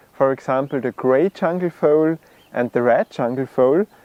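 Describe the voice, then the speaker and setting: A man with an Austrian accent, talking at a moderate pace. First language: German. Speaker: bird video creator. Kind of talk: video introduction.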